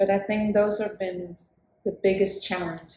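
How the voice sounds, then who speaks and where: A moderate pace in a Spanish accent. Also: woman. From southern Chile. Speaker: singer-songwriter. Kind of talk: interview conversation. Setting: live recording in New York City with street sounds.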